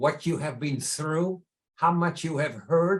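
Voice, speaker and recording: Fairly slow speech in a Dutch accent, with fairly even intonation. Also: man. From Netherlands. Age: 80s. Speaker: entrepreneur and charity founder. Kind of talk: interview storytelling.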